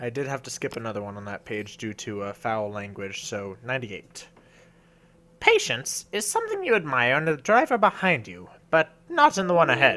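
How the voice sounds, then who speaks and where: A man's put-on character voice at medium pitch and a moderate pace. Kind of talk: reading funny quotes. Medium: dub. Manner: loud, enthusiastic.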